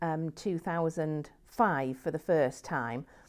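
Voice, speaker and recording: Her voice sits fairly low, with an English accent. The recording is very clean, with a silent background. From England. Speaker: nun. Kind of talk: interview testimony. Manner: halting, with fillers and restarts.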